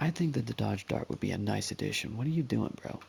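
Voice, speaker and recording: A quiet man speaks in a somewhat breathy voice. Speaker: gaming youtuber. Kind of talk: casual gameplay commentary. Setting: at home, playing video game. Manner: quiet, hushed; hesitant, many fillers.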